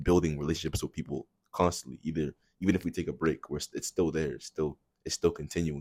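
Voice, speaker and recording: A man's very deep, low voice at a very fast pace, fairly even in intonation, dry and close with no echo, on a very clean recording with a silent background. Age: young. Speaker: college student. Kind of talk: casual chat.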